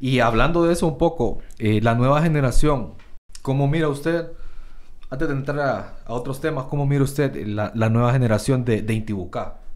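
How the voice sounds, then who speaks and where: There is audible room echo around this voice. A man speaks at a moderate pace. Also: medium pitch for a man, ordinary pitch variation. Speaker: podcast host, entrepreneur. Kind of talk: casual interview chat.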